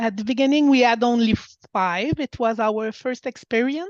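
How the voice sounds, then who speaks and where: Against a quiet background, a woman with a high pitch speaks in a Quebec accent with ordinary pitch variation, in a dry, close recording with no echo. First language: French. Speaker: women's club president. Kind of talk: webinar presentation. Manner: halting.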